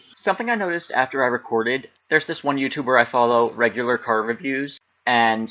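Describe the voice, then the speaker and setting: A man's bright, sharp, medium-pitched voice with an American accent, at a fairly quick pace. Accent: American, slightly thicker than typical. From Pennsylvania, US. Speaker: history YouTuber. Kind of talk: casual vlog talk.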